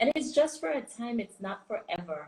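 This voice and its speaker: A woman with a Caribbean accent sounds somewhat breathy. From US Virgin Islands. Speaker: business coach. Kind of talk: live stream chat. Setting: Instagram live stream. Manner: animated.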